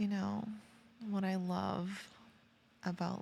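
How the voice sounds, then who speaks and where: Soft-spoken, a woman talks at a very slow pace. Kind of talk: ASMR sleep roleplay. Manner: soft-spoken, slow, calming.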